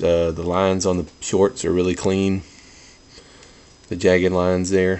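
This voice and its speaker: A soft-spoken man talks with a very deep, low pitch. His pace is moderate and his intonation fairly even. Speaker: toy collector video reviewer. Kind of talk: product review. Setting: at home, others asleep in house. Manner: subdued, low-key delivery; kept quiet, soft.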